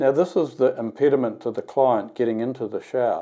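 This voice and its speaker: A man speaks against a quiet background. His tone is dark and mellow. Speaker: company executive demonstrating app. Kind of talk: tutorial. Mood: calm, explanatory. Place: bathroom.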